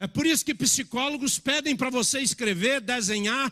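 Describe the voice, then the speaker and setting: A man projects a raised voice at an extremely high pitch, bright and sharp in tone. His pace is moderate and his pitch varies in an ordinary way. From Minas Gerais, Brazil (born in Bahia). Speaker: pastor. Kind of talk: sermon.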